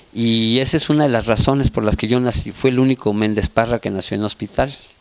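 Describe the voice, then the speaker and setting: In a normal speaking voice, a man of medium pitch talks at a moderate pace with ordinary pitch variation. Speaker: family member interviewee. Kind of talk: documentary interview.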